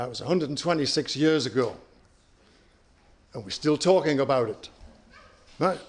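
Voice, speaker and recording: With a British accent, a man speaks at a moderate pace. His pitch is fairly high, with ordinary variation. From UK. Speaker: company CEO. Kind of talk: conference presentation.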